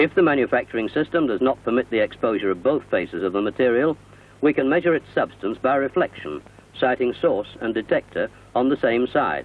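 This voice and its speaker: Using a plain, everyday voice, a man talks fairly quickly at medium pitch with lively intonation. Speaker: narrator. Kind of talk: corporate narration.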